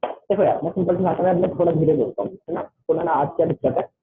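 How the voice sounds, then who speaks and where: A man is talking here. The rise and fall of his voice stays fairly even. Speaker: online tutor. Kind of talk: online class. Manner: fast; loud.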